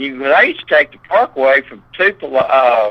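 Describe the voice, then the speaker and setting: With a Southern US accent, a man speaks in a bright, sharp tone, the sound dry and close with no echo. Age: 60s. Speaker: eyewitness interviewee. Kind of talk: interview.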